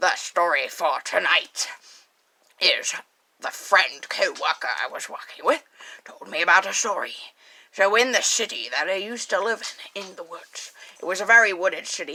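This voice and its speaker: In a raspy, playful tone, the voice moves through big swings in loudness, broken by long, frequent pauses. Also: woman, medium pitch for a woman, moderate pace. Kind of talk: late-night spooky radio host. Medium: solo performance. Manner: rambling, scattered, playful.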